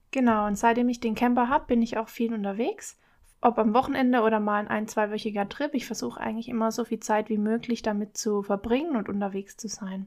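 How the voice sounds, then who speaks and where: Fairly high in pitch, a woman talks fairly quickly with fairly even intonation in an ordinary speaking voice, captured in a very clean recording with a silent background. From Baden-Württemberg, Germany. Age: 20s. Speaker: travel podcaster. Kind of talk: solo podcast monologue.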